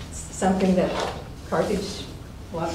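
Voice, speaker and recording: Speech at a moderate pace comes with noticeable background noise and audible room echo. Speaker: mayor chairing city council. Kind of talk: council meeting. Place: meeting room. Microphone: camera far.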